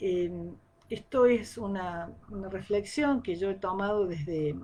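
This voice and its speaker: A woman talks fairly slowly, her medium pitch moving with ordinary variation. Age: 60s. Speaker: agronomist giving a talk. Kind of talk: live-streamed talk. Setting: live stream. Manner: hesitant, many fillers.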